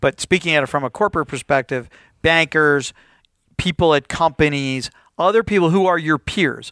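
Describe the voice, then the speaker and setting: At a moderate pace, a bright, sharp voice with ordinary pitch variation comes through a dry, close sound with no echo on a very clean recording with a silent background. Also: man. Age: 50s. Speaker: corporate lawyer. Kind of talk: interview.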